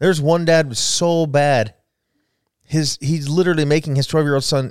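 A normal speaking voice from a man with an American accent and fairly high pitch, with a dry, close sound and no echo, on a very clean recording with a silent background. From southern Idaho, Wendell and Jerome. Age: 40s. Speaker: podcast co-host. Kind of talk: casual chat.

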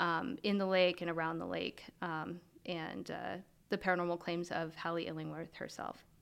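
A woman speaks with a normal speaking voice at a fairly low pitch and a moderate pace. The recording is very clean, with a silent background. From US, Montana. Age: 30s. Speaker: paranormal investigator. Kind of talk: interview conversation.

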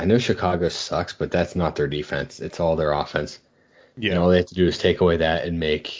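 With a very deep, low pitch and fairly even intonation, a man talks at a fairly quick pace. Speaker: podcast host. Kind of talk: casual banter over beers, fantasy football talk. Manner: profane, joking.

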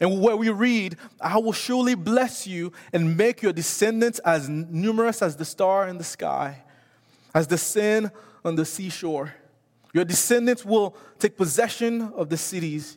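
On a very clean recording with a silent background, a man speaks in a high pitch. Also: ordinary pitch variation, fairly slow pace. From Haiti. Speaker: missions director and guest preacher. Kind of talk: sermon. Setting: church.

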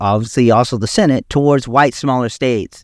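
In an American accent, a man speaks at a fairly quick pace in an unremarkable speaking voice of medium pitch, recorded very cleanly with a silent background and a dry, close sound with no echo. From US South, South Carolina. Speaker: podcast host. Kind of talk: solo educational monologue. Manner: casual with many fillers.

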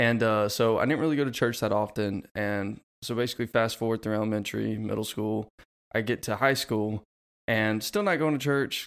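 Pitched fairly low, a man talks in a normal speaking voice. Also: fairly even intonation, fairly quick pace, very clean recording, silent background. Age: 20s. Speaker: podcast co-host. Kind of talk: casual chat.

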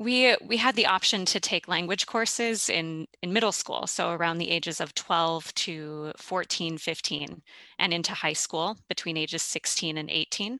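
With an American accent and a bright, sharp tone, a woman speaks at a moderate pace with hardly any pauses, in a fairly low pitch with ordinary pitch variation, recorded dry and close with no echo against a quiet background. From US Midwest, St. Louis. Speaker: classical singer. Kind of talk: interview conversation.

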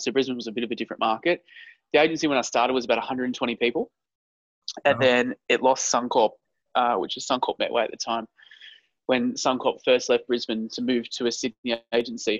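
The speaker, a man, has an Australian accent. He talks at a fairly quick pace. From Queensland, Australia. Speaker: advertising agency CEO. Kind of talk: interview.

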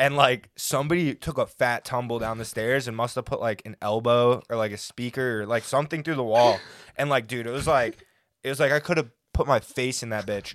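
On a very clean recording with a silent background, a man with an ordinary speaking voice talks at medium pitch with fairly even intonation. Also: fairly quick pace. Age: 20s. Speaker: recent college graduate, designer. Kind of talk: casual chat.

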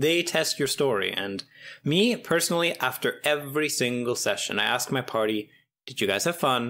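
Lively intonation and a bright, sharp tone come through at a moderate pace on a very clean recording with a silent background. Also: man. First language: not English. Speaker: tabletop game designer. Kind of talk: casual chat. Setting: call.

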